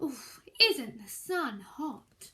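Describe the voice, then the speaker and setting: A woman performs a put-on character voice at a high pitch. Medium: read story.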